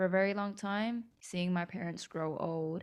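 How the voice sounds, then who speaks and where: A woman at a medium pitch and moderate pace with an American accent, on a very clean recording with a silent background. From United States, of South Korean heritage. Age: 20s. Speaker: podcast host. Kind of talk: solo podcast monologue. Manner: casual, with fillers.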